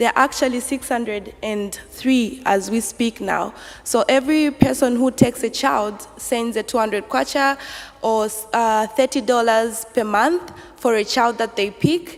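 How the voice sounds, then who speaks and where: Through noticeable background noise, a woman speaks at a fairly high pitch with ordinary pitch variation. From Zambia. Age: 20s. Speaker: local councillor. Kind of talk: conference talk. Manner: hesitant, many fillers.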